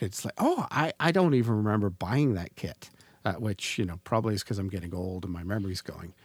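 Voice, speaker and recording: A man with a normal speaking voice, fairly low in pitch with ordinary pitch variation, talks at a fairly quick pace on a very clean recording with a silent background, dry and close with no echo. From Canada. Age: 40s. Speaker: podcast host. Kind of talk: casual chat.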